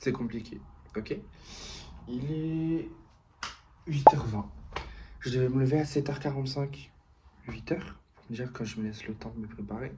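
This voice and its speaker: Soft-spoken and medium-pitched, a man talks at a fairly slow pace with long, frequent pauses, ordinary pitch variation, and big swings in loudness, in a room with audible echo. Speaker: vlogger. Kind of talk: vlog.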